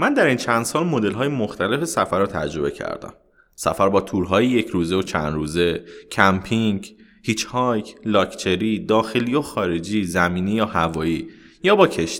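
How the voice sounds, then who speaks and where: A man speaks with a plain, everyday voice at a moderate pace. His pitch is fairly low and his intonation lively. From Iran. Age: 30s. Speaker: traveler and former mechanical engineer. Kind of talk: interview.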